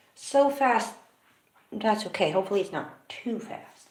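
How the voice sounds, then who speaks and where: The intonation is lively, and audible echo fills the room. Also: woman. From California, USA. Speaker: live streamer and music maker. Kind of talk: casual live stream chat. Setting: at home during live stream.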